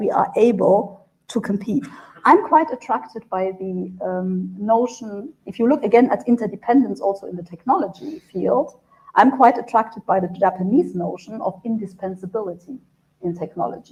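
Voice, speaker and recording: A woman with a German accent speaks at a moderate pace, her medium-pitched, somewhat breathy voice dark and mellow in tone with lively intonation. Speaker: EU trade official. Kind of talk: panel discussion.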